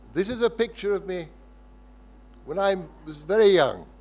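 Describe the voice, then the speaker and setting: Someone speaks at a moderate pace in a southern English accent. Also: man. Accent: English (southern, educated). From southern England (Windsor). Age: 70s. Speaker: lecturer. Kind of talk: lecture. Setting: lecture hall with audience.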